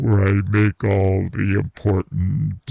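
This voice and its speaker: A man uses a put-on character voice, fairly low in pitch, delivered at a fairly slow pace. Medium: comedy sketch. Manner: giggly, crude.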